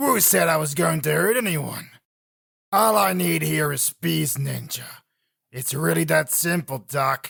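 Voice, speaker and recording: Putting on a growling character voice, a man speaks at a medium pitch and a fairly slow pace, with very wide pitch swings. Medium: read story. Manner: smug, sarcastic, taunting.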